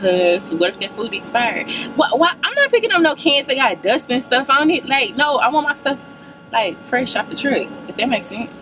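A woman's high voice with very wide pitch swings at a moderate pace, music in the background. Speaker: vlogger. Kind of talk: casual vlog chat. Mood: playful, animated. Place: car. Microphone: phone near.

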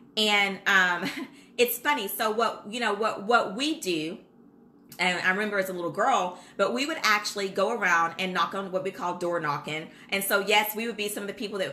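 A woman talks at a moderate pace in a medium pitch with ordinary pitch variation, and noticeable background noise is present. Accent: American. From Kentucky, US. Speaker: childcare business consultant. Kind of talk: live-streamed tutorial. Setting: Facebook Live video stream. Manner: casual, animated.

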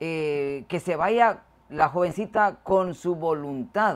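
Her intonation is lively as this woman speaks at a fairly low pitch. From Guatemala. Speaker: show host. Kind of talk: casual chat.

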